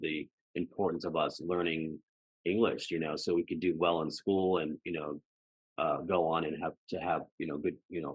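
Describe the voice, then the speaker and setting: A man speaks with a very deep, low pitch in a General American accent. His pace is moderate and his intonation fairly even. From Colorado, US (outside Denver). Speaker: podcast guest. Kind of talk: casual interview conversation. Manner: halting, many fillers.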